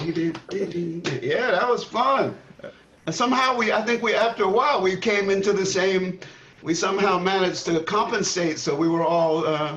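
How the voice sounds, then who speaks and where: A man's high-pitched voice at a moderate pace, with ordinary pitch variation, very even loudness, audible room echo and noticeable background noise. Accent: American. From New York City (Queens). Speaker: jazz drummer. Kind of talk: casual chat. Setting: video call.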